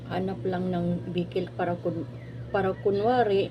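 Audible room echo and noticeable background noise around a woman speaking at a moderate pace. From Philippines. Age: 40s. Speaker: vlogger, former overseas domestic worker. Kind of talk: casual vlog monologue.

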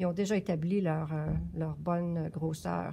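A woman's somewhat breathy voice in a Quebec accent, dark and mellow in tone, at a moderate pace with fairly even intonation. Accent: Québécois French. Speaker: yarn shop knitting presenter; presenter. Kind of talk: knitting tutorial. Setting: yarn shop. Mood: calm, patient. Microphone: phone near.

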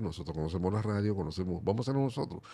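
Very deep, low pitch from a man, with a dark, mellow tone. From Dominican Republic, Montecristi province; Dominican Republic. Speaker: merengue musician; guest. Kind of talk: interview. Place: studio. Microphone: studio mic.

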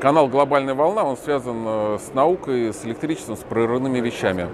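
Over noticeable background noise, the speaker goes at a fairly quick pace with ordinary pitch variation in a dry sound that has no echo. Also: man. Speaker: channel host and movement activist; vlogger. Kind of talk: on-location vlog and street interviews. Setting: crowded exhibition hall. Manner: animated. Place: hall. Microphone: lapel.

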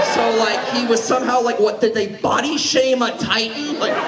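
With crowd noise in the background, a man speaks at a moderate pace. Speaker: stand-up comedian. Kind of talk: stand-up comedy routine. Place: hall.

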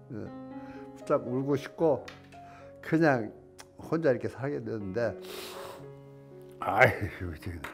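Clear music plays in the background as a man speaks very slowly with lively intonation. He leaves long, frequent pauses, and his loudness swings widely. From Korea. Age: old. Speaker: elderly channel host. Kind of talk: poetry reading. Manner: emotional, choked up. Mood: emotional, choked up, tearful. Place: studio. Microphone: lapel.

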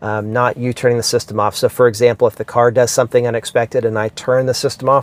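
Fairly quickly, a man speaks in a monotone, flat way, the sound dry with no echo. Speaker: car vlogger. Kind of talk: casual vlog explanation. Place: car. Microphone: lapel.

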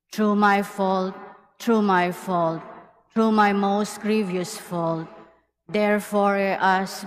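The intonation is monotone and flat. Audible room echo is present. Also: woman. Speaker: mass commentator. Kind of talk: liturgical responses and prayers. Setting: cathedral.

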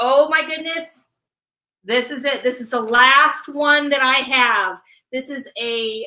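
A woman's high-pitched, bright, sharp voice, raised and projected, moving at a fairly slow pace over a quiet background. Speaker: auction co-host, sales consultant. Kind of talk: live-streamed charity auction. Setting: live video stream. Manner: animated. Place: office. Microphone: webcam.

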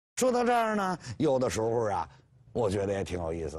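Male speech over a quiet background. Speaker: professor lecturer. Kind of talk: lecture. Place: studio. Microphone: lapel.

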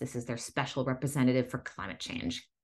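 A woman with an American accent. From Massachusetts. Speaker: independent news host. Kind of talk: news reading. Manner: steady, explanatory news-anchor delivery with frequent fillers and ad-libbed asides. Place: home room. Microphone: studio mic.

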